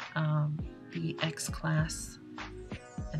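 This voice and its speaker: Over clear background music, a soft-spoken woman mumbles. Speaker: space weather hobbyist. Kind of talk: casual screen-recording explainer. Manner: soft-spoken, mumbling. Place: home room.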